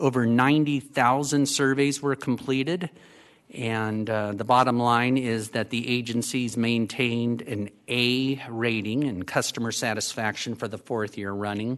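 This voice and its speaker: With a plain, everyday voice, a man speaks at a medium pitch and a fairly slow pace, keeping his intonation fairly even. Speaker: city councilmember. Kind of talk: council meeting discussion. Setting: council chambers.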